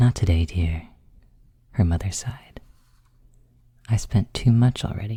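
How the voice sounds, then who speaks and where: The speaker is soft-spoken and fairly slow, leaving long, frequent pauses. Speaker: ASMR creator. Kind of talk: bedtime story reading.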